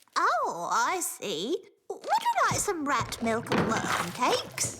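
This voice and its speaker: A cartoonish character voice, extremely high in pitch and very slow in pace. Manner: polite, genteel.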